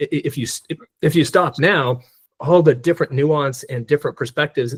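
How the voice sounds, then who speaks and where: At a moderate pace, a man with a somewhat breathy voice and fairly even intonation is heard in a very clean recording with a silent background, the sound dry and close with no echo. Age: 60s. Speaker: DEI consultant and speaker. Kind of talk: presentation Q&A. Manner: halting, many repeated words.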